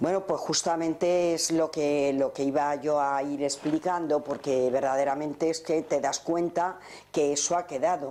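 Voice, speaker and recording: Speaking with a very deep, low pitch and a dark, mellow tone, a woman keeps a monotone, flat intonation at a fairly slow pace. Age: 60s. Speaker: relaxation and regression therapist. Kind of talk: conference talk. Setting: conference with audience.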